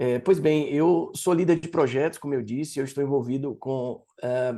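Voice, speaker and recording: Against a quiet background, a man with a Bahian accent speaks in a dark, mellow tone at a moderate pace with fairly even intonation. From Brazil, Salvador, Bahia. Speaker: project leader and learning designer. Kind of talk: talk. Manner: lecturing, didactic.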